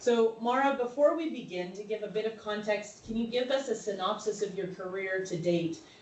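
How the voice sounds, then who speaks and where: Amid noticeable background noise and audible room echo, a woman with an American accent talks at a moderate pace in a medium pitch. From North Carolina, US. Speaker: webinar host. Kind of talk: webinar interview.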